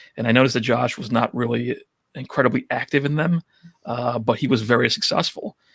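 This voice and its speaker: Talking at a very fast pace with a strong New York accent, a man speaks at medium pitch with ordinary pitch variation, and the sound is dry and close with no echo. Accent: thick New York. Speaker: photo booth rental business owner. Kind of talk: podcast interview.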